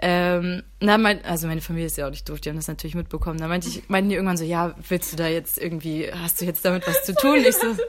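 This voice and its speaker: A woman with a fairly low pitch rushes along at a very fast pace. She leaves hardly any pauses. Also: ordinary pitch variation. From Mecklenburg, northern Germany. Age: 20s. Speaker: university student, convert to Islam. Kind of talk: casual chat.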